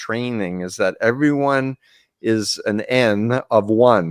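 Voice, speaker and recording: Captured on a very clean recording with a silent background and a dry, close sound lacking echo, a man at medium pitch speaks with an American accent and ordinary pitch variation. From New York City (Queens). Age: 70s. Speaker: cult expert, therapist. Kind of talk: interview conversation.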